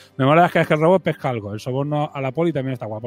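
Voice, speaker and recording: Over music in the background, a man with a fairly high pitch talks at a very fast pace with ordinary pitch variation. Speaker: podcast host. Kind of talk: casual chat.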